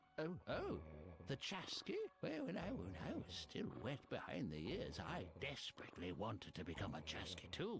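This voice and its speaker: A put-on character voice from a man, medium in pitch and moderate in pace, with very even loudness and clear background noise. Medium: video game. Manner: rambling, halting, often chuckling.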